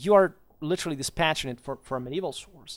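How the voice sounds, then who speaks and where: A man with a non-native accent talks at a very fast pace. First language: not English. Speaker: history commentator. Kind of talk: video commentary monologue. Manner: halting, many fillers and repetitions.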